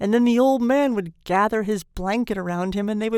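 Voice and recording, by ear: With ordinary pitch variation, the speaker reads aloud in a natural voice.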